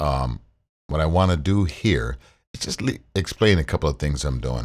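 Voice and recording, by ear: On a very clean recording with a silent background, a man speaks at a moderate pace in an extremely low voice with lively intonation.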